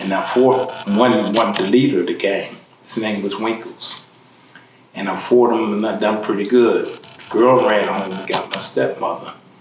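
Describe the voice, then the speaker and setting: A man speaks at a medium pitch and a moderate pace with fairly even intonation. Audible room echo and noticeable background noise come through. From Philadelphia, US. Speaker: formerly incarcerated man. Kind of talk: life story interview.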